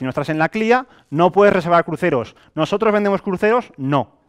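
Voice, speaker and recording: Against a quiet background, a man talks at a fairly quick pace in a high voice. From Valencia, Spain; Spain. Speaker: network marketing presenter; presenter. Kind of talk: sales pitch. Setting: stage with audience. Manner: animated. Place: meeting room.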